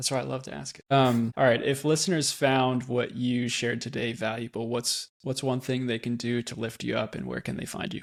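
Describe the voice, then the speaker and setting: In a normal speaking voice, a man of medium pitch talks at a fairly quick pace with an American accent, recorded very cleanly against a silent background. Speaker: podcast host. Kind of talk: casual interview chat.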